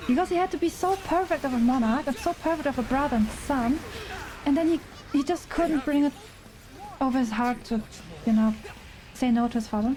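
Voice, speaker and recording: A woman with a German accent speaks high-pitched and fairly quickly with lively intonation, very even loudness and long, frequent pauses, amid noticeable background noise. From Germany. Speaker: gaming streamer. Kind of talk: casual live-stream chat while gaming. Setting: live stream. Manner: animated.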